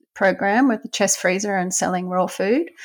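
A woman of medium pitch speaks in an Australian accent on a very clean recording with a silent background. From Brisbane, Australia. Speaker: veterinarian. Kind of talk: interview.

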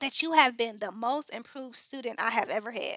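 A woman's high, bright and sharp voice, raised and projected, with an American accent, a fairly quick pace, ordinary pitch variation, and a dry, close sound free of echo. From US Midwest, South Side of Chicago. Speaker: chemist and education nonprofit founder. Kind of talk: interview conversation.

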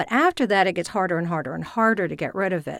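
Speech comes at a very fast pace with an American accent and ordinary pitch variation. The recording is very clean, with a silent background. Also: woman. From US South. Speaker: voice and speech coach. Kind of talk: interview conversation.

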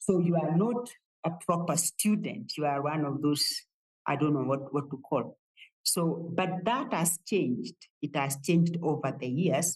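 A woman talks at a fairly slow pace in a very deep, low pitch. Her voice is somewhat breathy, with ordinary pitch variation. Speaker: theology professor. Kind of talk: interview. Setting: office.

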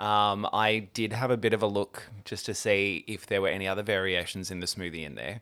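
With an Australian accent, a man speaks at a fairly quick pace and a fairly low pitch, hardly pausing. His tone is bright and sharp, his intonation fairly even, and the recording very clean with a silent background. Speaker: podcast co-host. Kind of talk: casual chat.

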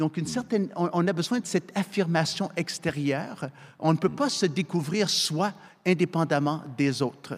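With ordinary pitch variation, the words come at a fairly slow pace. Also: man, high pitch for a man. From Canada, military family moving yearly. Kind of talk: panel discussion.

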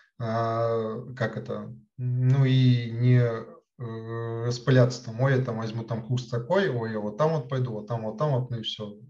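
Somewhat breathy with a dark, mellow tone, a man's medium-pitched voice moves at a fairly slow pace and fairly even intonation amid audible room echo. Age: 20s. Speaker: chatbot developer. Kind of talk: interview. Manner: halting, many filler words.

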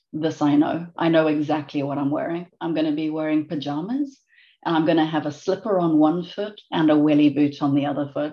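Very deep and low, this woman's voice has a dark, mellow tone. The background is quiet. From South Africa. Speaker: global director at an industrial tech company. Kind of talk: interview.

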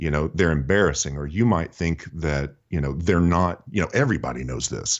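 Here is a man with an American accent. His voice is very deep and low, with ordinary pitch variation. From Texas, Houston. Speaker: sales trainer and author. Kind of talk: podcast interview.

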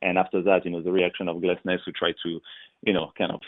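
A man's very deep, low voice with a French accent. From France. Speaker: retired pro soccer player and broadcaster. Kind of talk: interview.

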